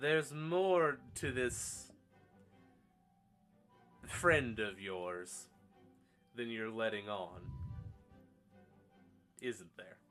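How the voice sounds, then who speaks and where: A man's put-on character voice, quiet and medium-pitched, at a very slow pace with very wide pitch swings, big swings in loudness, long, frequent pauses, and faint music in the background. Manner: hushed, probing.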